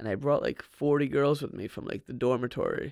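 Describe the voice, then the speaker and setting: A man speaks with an American accent. The sound is dry and close with no echo, and the recording is very clean with a silent background. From New Jersey. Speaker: entrepreneur. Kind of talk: interview. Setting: studio.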